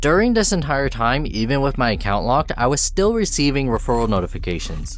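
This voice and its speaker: A man speaks very fast at a medium pitch, with very wide pitch swings. Noticeable background noise runs underneath. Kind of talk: personal account narration to camera.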